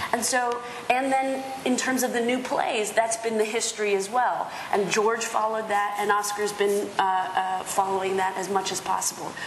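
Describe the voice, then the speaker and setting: A woman with an American accent and a fairly high pitch, fairly even intonation, a moderate pace, audible room echo and light background noise. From US, Spanish and Dominican heritage. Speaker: theatre producer. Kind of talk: panel discussion. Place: hall.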